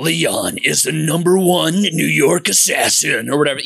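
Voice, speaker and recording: A put-on character voice, raspy in tone, delivered at a moderate pace. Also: man, fairly high pitch for a man. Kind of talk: dramatic, announcer style.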